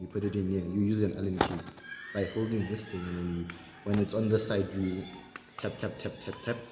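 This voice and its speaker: Noticeable background noise and audible room echo surround a man talking at a fairly quick pace with ordinary pitch variation. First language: not English, a South African home language. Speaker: mechanic demonstrating engine work. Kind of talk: hands-on tutorial. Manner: casual, halting.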